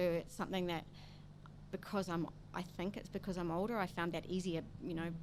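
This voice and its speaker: With a New Zealand accent, a woman speaks at a fairly low pitch in a monotone, flat intonation. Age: 60s. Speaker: coffee roastery founder. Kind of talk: interview.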